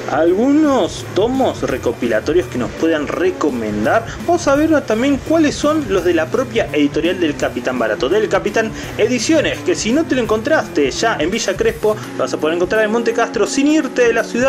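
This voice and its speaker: Clear music plays in the background. A man talks over it at a moderate pace. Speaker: comic shop vlogger. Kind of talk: casual vlog tour commentary. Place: shop. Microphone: phone near.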